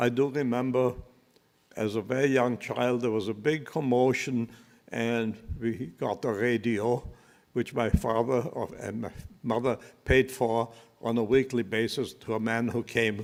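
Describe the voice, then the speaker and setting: A man speaks at a fairly slow pace with a German accent. His intonation stays fairly even. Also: very clean recording, silent background. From Austria (Leoben, later Vienna). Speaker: Holocaust survivor. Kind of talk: testimony. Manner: halting.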